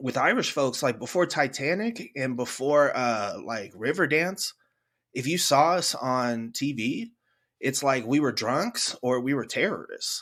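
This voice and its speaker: Over a silent background in a very clean recording, a man with a Californian accent talks at a fairly slow pace, his fairly high pitch carried by lively intonation. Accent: Californian American. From San Francisco, US. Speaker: podcast host. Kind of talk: casual chat.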